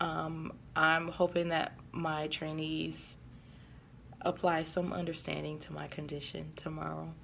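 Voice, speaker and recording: In audible room echo, a woman speaks at a fairly slow pace with big swings in loudness. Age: adult. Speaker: vlogger and corporate trainer. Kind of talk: casual vlog. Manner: hesitant, many fillers.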